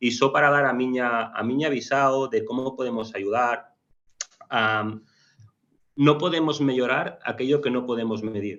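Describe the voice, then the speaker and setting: Speaking with a Spanish accent, a man keeps a medium pitch and fairly even intonation at a fairly slow pace. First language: Spanish or Galician (speaking Portuguese). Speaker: company country manager. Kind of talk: panel discussion. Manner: hesitant.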